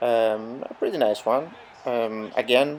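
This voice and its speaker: Noticeable background noise sits under a man speaking with a non-native accent. His medium pitch holds fairly even intonation. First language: not English. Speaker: gaming youtuber. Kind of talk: gameplay commentary tutorial. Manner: hesitant, many fillers.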